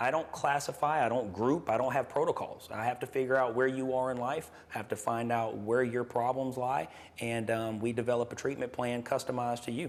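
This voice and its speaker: An unremarkable speaking voice from a man with an American accent, medium pitch, fairly even intonation and a fairly quick pace. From US South, Gulf Coast Mississippi. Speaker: nurse practitioner and clinic owner. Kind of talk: interview. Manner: casual, with frequent fillers.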